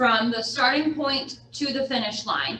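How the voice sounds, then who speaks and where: Audible room echo and noticeable background noise surround a woman's high-pitched voice. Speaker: real estate agent and trainer. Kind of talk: lecture.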